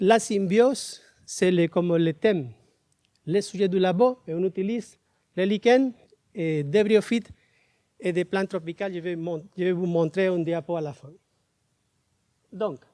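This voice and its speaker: Dark and mellow, the voice has a Spanish accent and moves at a fairly slow pace with long, frequent pauses and ordinary pitch variation. Loudness swings widely in a dry, close sound with no echo. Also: man. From Panama. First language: Spanish (speaking French). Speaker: biology professor. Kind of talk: conference talk. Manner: halting.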